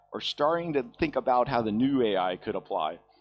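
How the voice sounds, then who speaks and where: Recorded very cleanly against a silent background, a man talks at a medium pitch with very wide pitch swings. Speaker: conference speaker. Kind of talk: conference talk. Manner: fast; casual.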